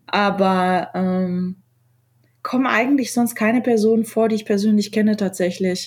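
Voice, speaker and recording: Her intonation stays fairly even. The woman's voice carries a somewhat breathy quality. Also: fairly high pitch for a woman. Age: 30s. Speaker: designer and poet. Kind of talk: casual chat. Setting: remote call.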